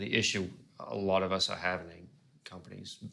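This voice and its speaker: Pitched fairly low, a male speaker talks with an Australian accent. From Australia, Gold Coast. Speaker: pedal company staff, interviewer. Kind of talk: casual interview chat.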